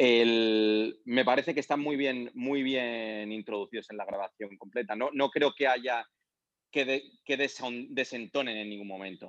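A man with an ordinary speaking voice, medium pitch, fairly even intonation and a fairly slow pace. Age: 40s. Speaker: concert promoter. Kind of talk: casual chat. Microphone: robotic-sounding line.

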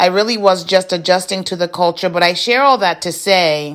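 This is an ordinary speaking voice from a woman. Her pitch is medium and her intonation fairly even. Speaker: podcast host. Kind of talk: reflective monologue.

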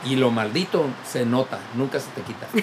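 Over noticeable background noise, the words come at a fairly slow pace. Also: man. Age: 50s. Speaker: drinks expert co-host. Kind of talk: casual chat.

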